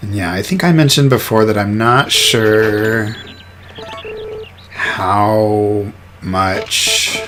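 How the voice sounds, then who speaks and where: Soft-spoken mumbling comes at a very slow pace with long, frequent pauses. Noticeable background noise is present. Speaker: gaming youtuber. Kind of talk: let's play commentary. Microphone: microphone far away, boosted gain, poor quality.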